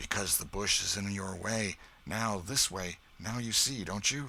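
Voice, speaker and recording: A man speaks in a raspy, put-on character voice with a fairly low pitch. His pace is moderate and his intonation stays fairly even. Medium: read story. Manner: menacing.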